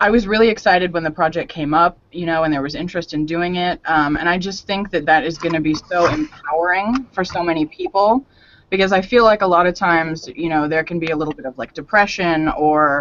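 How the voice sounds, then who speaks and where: A woman speaks at a fairly quick clip with hardly any pauses. Her pitch sits fairly low and varies in an ordinary way. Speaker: video voiceover narrator and advocate. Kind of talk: casual chat. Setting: live online show. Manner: animated.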